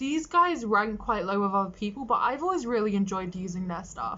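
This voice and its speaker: A woman with a British accent speaks at a fairly high pitch with lively intonation over noticeable background noise. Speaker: makeup artist. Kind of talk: tutorial. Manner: casual, chatty.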